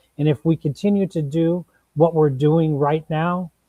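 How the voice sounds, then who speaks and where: A man's unremarkable speaking voice, fairly high-pitched for a man, with an American accent. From Minnesota, St. Paul east side. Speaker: political candidate. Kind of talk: panel discussion. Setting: livestream.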